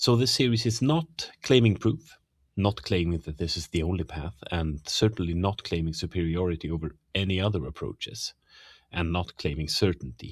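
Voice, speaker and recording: A man with a slight Swedish accent speaks at a very deep, low pitch, somewhat breathy. His intonation is lively, and the recording is very clean with a silent background. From Sweden. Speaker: teacher and podcast host. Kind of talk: lecture-style monologue on theology. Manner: hesitant, frequent fillers.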